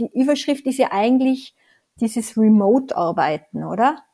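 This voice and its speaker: Speaking fairly slowly, a woman has a fairly high pitch and ordinary pitch variation. Her tone is dark and mellow. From Tyrol, Austria. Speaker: consultant and author. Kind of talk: interview conversation.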